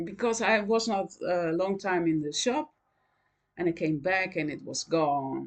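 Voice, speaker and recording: Lively intonation from a woman at a medium pitch. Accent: Dutch. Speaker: knitting vlogger. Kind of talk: casual chat. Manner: halting, many fillers.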